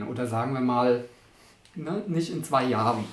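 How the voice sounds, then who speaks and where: A man talks with ordinary pitch variation. The recording has audible room echo and noticeable background noise. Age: 50s. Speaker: artist. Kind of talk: casual interview. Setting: artist's studio.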